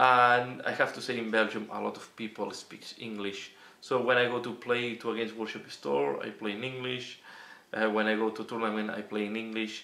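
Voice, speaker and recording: A man with a Catalan accent, medium pitch, fairly even intonation and a moderate pace. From Catalonia, Spain. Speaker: miniature wargaming youtuber. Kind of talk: Q&A casual monologue. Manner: halting, many fillers.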